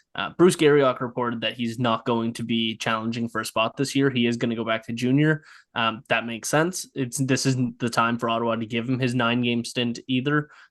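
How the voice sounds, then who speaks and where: Against a quiet background, a man with a Nova Scotian accent and medium pitch talks at a fairly quick pace with hardly any pauses and fairly even intonation. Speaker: hockey podcast host. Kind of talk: casual chat.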